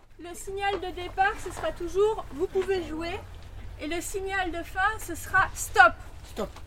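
Extremely high female voice, raised and projected, at a very slow pace with long, frequent pauses and big swings in loudness, over noticeable background noise. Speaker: workshop facilitator and podcast presenter. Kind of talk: workshop instructions and narration. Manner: directive, clear.

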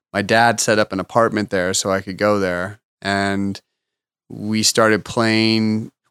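A man's fairly low, bright, sharp voice with a Californian accent, monotone and flat, in a very clean recording with a silent background. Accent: Californian American. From Los Angeles. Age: 40s. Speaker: artist manager and restaurant owner. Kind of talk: casual interview chat.

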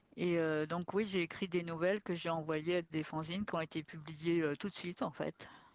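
Moderate pace, fairly even intonation and hardly any pauses, in a dry, close sound with no echo. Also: woman, fairly low pitch for a woman. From France, working-class neighbourhood. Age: 50s. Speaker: science fiction author. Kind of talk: long-form interview. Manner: unforced, comfortable speaking level.

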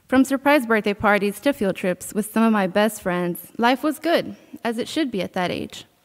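A woman with an American accent and a plain, everyday voice speaks at a moderate pace, at a fairly high pitch with ordinary pitch variation. The recording is very clean, with a silent background and a dry, close sound with no echo. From Texas, near the Mexico border. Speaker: college student. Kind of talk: testimony.

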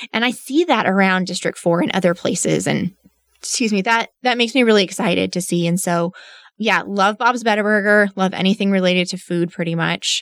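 A woman talks at a medium pitch and a fairly quick pace. The sound is dry and close with no echo, on a very clean recording with a silent background. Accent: Texan. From West Texas, Midland. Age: 30s. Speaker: city council candidate, licensed counselor. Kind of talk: interview. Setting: studio.

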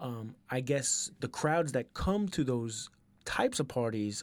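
A man with a New York accent talks very slowly at a medium pitch on a very clean recording with a silent background. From Queens, New York. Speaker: DJ. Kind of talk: casual chat.

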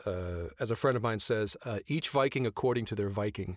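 A man with a fairly low pitch is heard in a very clean recording with a silent background. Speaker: voice actor. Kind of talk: casual chat.

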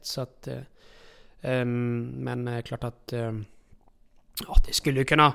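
A man at a medium pitch and moderate pace in a very clean recording with a silent background. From outside Sweden. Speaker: harness racing trainer's assistant and farrier. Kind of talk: casual interview. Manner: halting.

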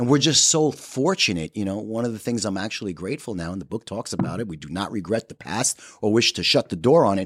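With lively intonation, a man with a fairly low pitch talks at a very fast pace. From New York. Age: 40s. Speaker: person in addiction recovery. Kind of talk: casual chat.

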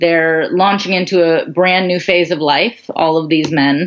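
A woman with an American accent and an unremarkable speaking voice talks at a fairly slow pace. Her pitch is fairly low and varies an ordinary amount. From US Midwest, suburban Chicago. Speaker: nonprofit founder and entrepreneur. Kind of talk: interview.

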